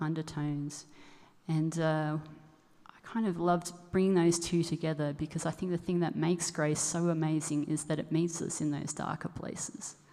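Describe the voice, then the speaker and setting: A woman with an Australian accent at a moderate pace, fairly low in pitch, in monotone, flat intonation. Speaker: musician. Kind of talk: song introduction at concert. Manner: halting.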